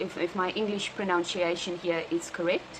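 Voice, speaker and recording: A woman with a South African accent speaks at a fairly slow pace over noticeable background noise. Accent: Afrikaans South African English. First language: Afrikaans. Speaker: vlogger. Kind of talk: personal video diary. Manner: halting, many fillers.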